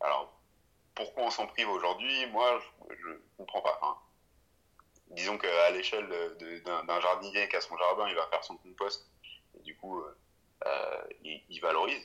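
A man talks at a fairly slow pace, with long, frequent pauses and big swings in loudness. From France, Sarthe (rural). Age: 20s. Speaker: founder of a local composting project. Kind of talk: interview. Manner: hesitant, many fillers.

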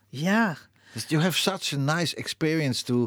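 A moderate pace and very wide pitch swings, in a Dutch accent. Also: man. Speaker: radio host. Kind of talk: casual chat. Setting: studio. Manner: halting.

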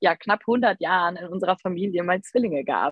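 Pitch moves up and down in an ordinary way, and it is a normal speaking voice. The delivery goes at a moderate speed. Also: woman. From Rhineland, near Düsseldorf. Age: 20s. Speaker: photographer and mother of twins. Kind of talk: casual interview chat.

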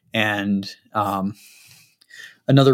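A man with an American accent and monotone, flat intonation. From Utah, Salt Lake City. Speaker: real estate investor, military veteran. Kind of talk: interview. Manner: halting.

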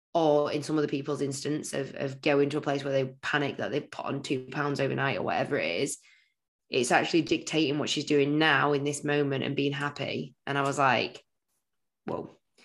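In a very clean recording with a silent background, a woman with a British accent speaks at a fairly quick pace in a very deep, low pitch, her intonation monotone and flat. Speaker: fitness podcast co-host. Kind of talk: casual chat.

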